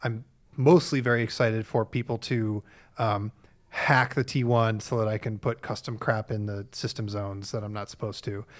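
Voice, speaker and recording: On a very clean recording with a silent background, a man with an unremarkable speaking voice speaks at medium pitch and a moderate pace with fairly even intonation. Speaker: tech journalist, co-host. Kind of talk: casual chat. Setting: office with mild echo.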